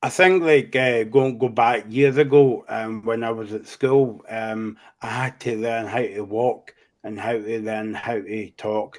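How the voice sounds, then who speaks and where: A man with a Scottish accent talks at medium pitch and a fairly slow pace, his intonation fairly even. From Scotland. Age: 40s. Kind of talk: interview. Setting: podcast. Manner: halting, many fillers.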